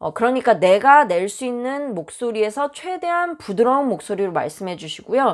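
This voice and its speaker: Her pitch is fairly high and swings very widely. The woman is heard on a very clean recording with a silent background. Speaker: dental hygienist. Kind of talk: tutorial. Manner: stiff tone.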